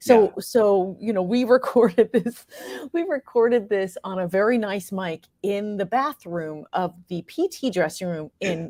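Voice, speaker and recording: With an American accent and lively intonation, a woman talks in a normal speaking voice at medium pitch, the sound dry and close with no echo. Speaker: actress and playwright. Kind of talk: interview answer.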